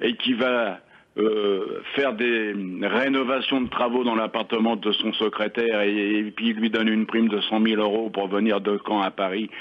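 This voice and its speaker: A man talks fairly slowly in a fairly low voice. His intonation is flat and monotone, and his loudness stays very even. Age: 60s. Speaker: retired caller. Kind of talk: radio call-in.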